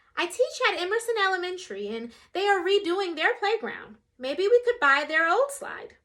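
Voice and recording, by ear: A woman puts on a character voice at an extremely high pitch with big pitch swings. She keeps a moderate pace and a fairly bright tone.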